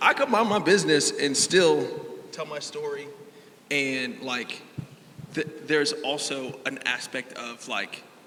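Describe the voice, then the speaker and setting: A man with a fairly high pitch speaks at a fairly slow pace with ordinary pitch variation and big swings in loudness. Long, frequent pauses break it up, and noticeable background noise is present. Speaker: panelist, content creator. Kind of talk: panel discussion.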